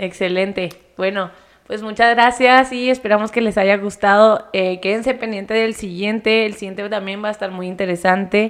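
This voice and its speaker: With a plain, everyday voice, a woman speaks at a moderate pace in a medium pitch with fairly even intonation. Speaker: podcast host. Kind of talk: casual chat. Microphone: close to the microphone.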